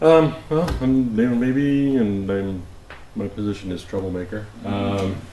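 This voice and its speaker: A man with an American accent and a fairly low pitch speaks at a fairly slow pace with lively intonation, amid noticeable background noise and audible room echo. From US Pacific Northwest, Oregon City. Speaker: planning commissioner. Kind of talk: casual introductions at work session. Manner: halting, many fillers.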